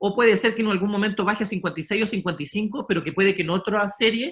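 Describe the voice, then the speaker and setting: A man's high-pitched voice at a very fast pace. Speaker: sports psychologist. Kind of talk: lecture. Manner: halting.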